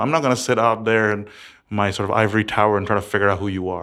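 Fairly low in pitch, this man speaks with an American accent. His intonation is fairly even. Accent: sounds very American. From several countries, third culture upbringing. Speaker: startup founder and CEO. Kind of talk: interview.

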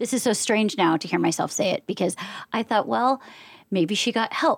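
A woman talks in an ordinary speaking voice, fairly high-pitched and lively, at a moderate pace. The recording is very clean and silent behind her, dry and close with no echo. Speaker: podcast producer. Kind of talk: casual chat.

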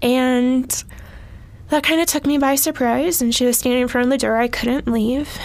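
A woman speaks at a moderate pace with a high pitch, very even loudness and fairly even intonation. Noticeable background noise sits behind her. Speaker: trafficking survivor and nonprofit leader. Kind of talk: testimony.

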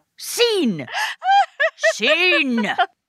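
Putting on a character voice, a woman speaks very slowly in a high, bright, sharp tone with very wide pitch swings.

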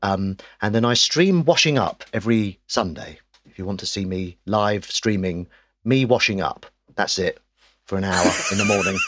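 A man's fairly low voice with an English accent, ordinary pitch variation, a moderate pace and big swings in loudness. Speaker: actor and comedian. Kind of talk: casual chat.

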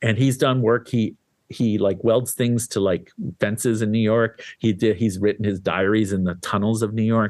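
An ordinary speaking voice from a man with a fairly low pitch comes at a moderate pace, with fairly even intonation and very even loudness. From Canada. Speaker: art magazine editor and critic. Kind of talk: interview.

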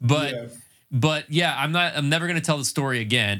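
Bright, sharp male speech at a fairly quick pace on a very clean recording with a silent background. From North Carolina. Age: 40s. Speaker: podcast host. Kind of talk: casual chat. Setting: home shed studio.

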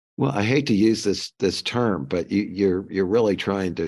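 In an American accent, a man with a very deep, low voice and vocal fry talks at a moderate pace with lively intonation over a quiet background. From US Midwest, St. Louis. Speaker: architecture firm consultant. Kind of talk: casual chat.

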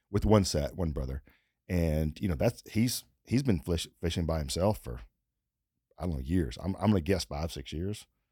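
With a very deep, low pitch, a man talks at a moderate pace in a dark, mellow tone with lively intonation and vocal fry. The recording is very clean, with a silent background. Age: 30s. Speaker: podcast host. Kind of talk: casual chat.

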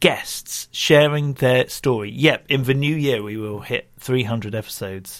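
Lively intonation marks this man's unremarkable speaking voice, set at medium pitch on a very clean recording with a silent background. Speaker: podcast host. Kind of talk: casual interview with ad reads.

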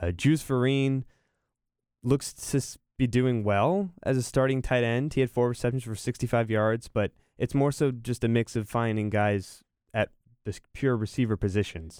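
A man speaks in a plain, everyday voice at medium pitch and a moderate pace with ordinary pitch variation, dry and close with no echo on a very clean recording with a silent background. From North Carolina, Raleigh area. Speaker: college sports podcast co-host. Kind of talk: casual chat.

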